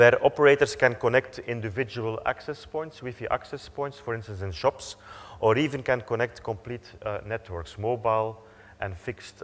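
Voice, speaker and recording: A man is speaking. His pitch is medium, with ordinary pitch variation. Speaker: company executive. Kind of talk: conference presentation. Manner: fast.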